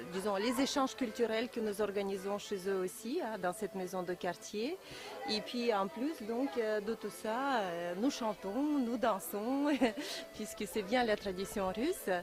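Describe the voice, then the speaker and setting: Over music in the background, a woman speaks very slowly at a fairly high pitch. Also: ordinary pitch variation. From Russia. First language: Russian (speaking French). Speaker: Russian language teacher. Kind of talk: short statement at open day.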